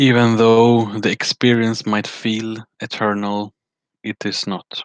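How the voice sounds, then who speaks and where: Recorded with a dry, close sound with no echo and a quiet background, a man speaks at a very slow pace with a medium pitch and monotone, flat intonation. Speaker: spiritual vlogger. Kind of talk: casual monologue on spirituality. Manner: halting, many fillers.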